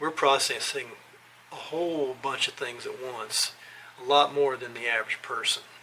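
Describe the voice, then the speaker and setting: Fairly high male voice with big swings in loudness over noticeable background noise. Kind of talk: scripted talk to camera. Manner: slow; halting.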